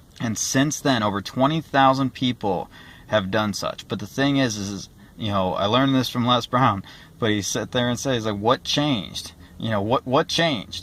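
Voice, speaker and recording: On a very clean recording with a silent background, a man talks at medium pitch with ordinary pitch variation. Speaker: motivational vlogger. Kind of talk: motivational talk. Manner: fast.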